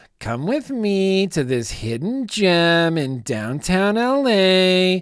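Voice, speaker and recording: A put-on character voice sits at a middle pitch with very wide pitch swings. It moves at a very slow pace. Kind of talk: put-on influencer voice. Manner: breezy, sugary, inviting.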